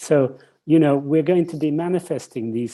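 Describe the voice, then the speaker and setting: Dark and mellow, the tone moves at a moderate pace. Pitch varies in an ordinary way. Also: man. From England. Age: 70s. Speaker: leadership researcher and author. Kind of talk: online interview conversation.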